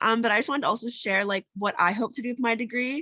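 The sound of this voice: Her tone bright and sharp, a woman speaks in a raspy voice with fairly even intonation.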